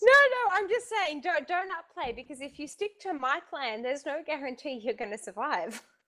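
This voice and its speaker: A woman with an Australian accent speaks in a raised, projected voice at a high pitch and moderate pace, with hardly any pauses. Her pitch swings very widely, and her loudness shifts a lot. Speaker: author. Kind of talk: podcast guest conversation.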